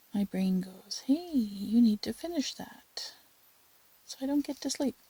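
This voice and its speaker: Soft-spoken delivery at a fairly slow pace. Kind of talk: tutorial. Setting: home at night.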